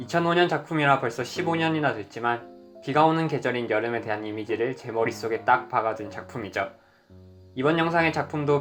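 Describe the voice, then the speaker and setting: A man delivers his words at a fairly quick pace. Behind him, music plays. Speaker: screenwriter. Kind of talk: casual talk to camera.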